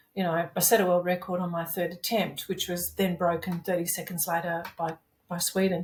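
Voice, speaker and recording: Somewhat breathy, this woman's voice sits fairly low in pitch. She speaks with an Australian accent. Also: fairly quick pace. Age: 60s. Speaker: masters powerlifter. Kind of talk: casual interview chat. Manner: animated.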